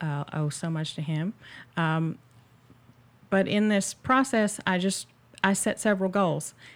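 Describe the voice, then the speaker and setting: Recorded very cleanly against a silent background, a woman talks in an unremarkable speaking voice at a moderate pace with ordinary pitch variation. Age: 40s. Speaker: therapist. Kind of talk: casual chat.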